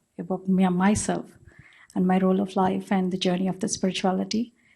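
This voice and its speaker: This woman's voice sits at a medium pitch and is somewhat breathy, with a dark, mellow tone. The background is quiet. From India. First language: not English, Indian language. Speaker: spiritual teacher, guru. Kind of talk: panel introduction.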